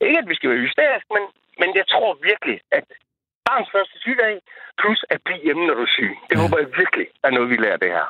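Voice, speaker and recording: Delivery comes at a very fast pace with very even loudness, broken by long, frequent pauses. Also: man. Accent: East Jutland. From Horsens area, East Jutland, Denmark. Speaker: radio caller. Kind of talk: call-in chat. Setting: phone call.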